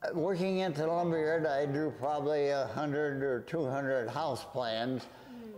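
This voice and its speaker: Faint music plays in the background while a man speaks with an American accent at a fairly slow pace. His pitch is fairly high, with ordinary pitch variation. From South Dakota, USA. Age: 100 years old. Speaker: World War Two veteran, retired home builder. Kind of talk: interview answer. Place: home room. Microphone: lapel.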